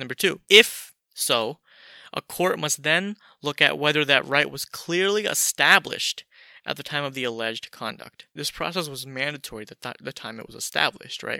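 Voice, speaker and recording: Bright and sharp, a man's fairly high voice comes across with an animated tone, lively intonation and big swings in loudness, in a very clean recording with a silent background and a dry, close sound with no echo. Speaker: podcaster. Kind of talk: monologue podcast, opinionated commentary, angry rant near 14:14. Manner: casual, animated, fired-up and indignant in the rant, fast and emphatic.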